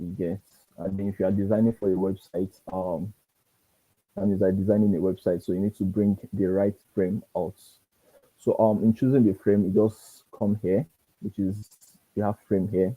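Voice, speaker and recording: Soft-spoken and fairly low in pitch, a man talks at a moderate pace in a dark, mellow tone with monotone, flat intonation and long, frequent pauses, the sound dry and close with no echo. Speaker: design instructor. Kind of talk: tutorial. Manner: halting. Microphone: too quiet.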